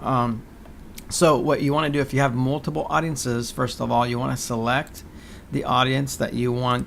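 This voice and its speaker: Fairly even intonation marks this man's medium-pitched voice. He keeps a moderate pace. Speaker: digital marketing tutorial presenter. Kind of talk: tutorial. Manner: hesitant, many fillers.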